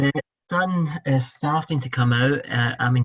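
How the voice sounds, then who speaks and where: At a fairly slow pace, a man in a Scottish accent speaks with a dry, close sound and no echo. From Scotland. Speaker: fundraising director. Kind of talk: interview.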